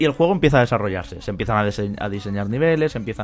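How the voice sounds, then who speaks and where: With lively intonation, a man speaks at a very fast pace. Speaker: podcast host. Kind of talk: casual chat.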